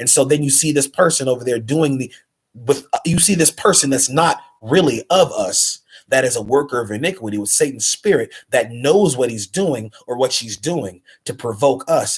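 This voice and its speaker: A somewhat breathy male voice, fairly high for a man, at a moderate pace. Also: lively intonation. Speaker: religious commentary vlogger. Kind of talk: religious monologue livestream. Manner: repetitive, halting.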